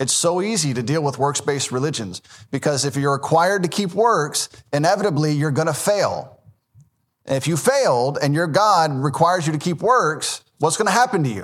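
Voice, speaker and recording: Fairly quick and lively in intonation, a man speaks in a fairly high pitch. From US South, Memphis, Tennessee. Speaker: Baptist pastor. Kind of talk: sermon.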